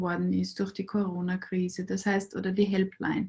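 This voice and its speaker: A woman with a medium pitch talks at a moderate pace. Her voice is somewhat breathy and her intonation fairly even. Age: 40s. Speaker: clinical psychologist. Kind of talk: interview.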